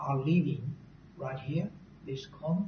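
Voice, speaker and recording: With a non-native accent, the words come out at a very slow pace. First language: not English. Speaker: university recruitment presenter. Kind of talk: presentation. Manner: halting.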